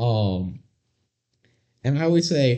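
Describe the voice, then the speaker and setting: At a fairly slow pace, a man speaks at medium pitch in a somewhat breathy voice. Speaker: podcast co-host. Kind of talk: casual chat.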